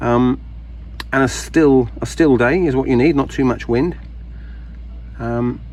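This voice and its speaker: A man speaks with a British accent. His speech has long, frequent pauses. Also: fairly slow pace. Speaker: gardening video maker. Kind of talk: casual tutorial. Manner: halting, many fillers.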